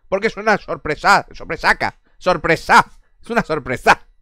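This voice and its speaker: The tone is bright and sharp, with lively intonation. The sound is dry with no echo, over a quiet background. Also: man. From Barcelona, Spain; Spain. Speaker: gaming streamer. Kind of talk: casual chat with live stream viewers. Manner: animated. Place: home room. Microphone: headset.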